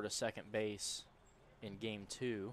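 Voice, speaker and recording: This man has a fairly low pitch. The sound is dry with no echo, over light background noise. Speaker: color commentator. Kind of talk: baseball color commentary and analysis. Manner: conversational, analytical. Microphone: headset.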